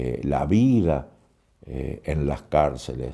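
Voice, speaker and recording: A man with vocal fry and a dark, mellow tone speaks at a very slow pace with very wide pitch swings. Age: 70s. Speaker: poet and writer on madness. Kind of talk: interview.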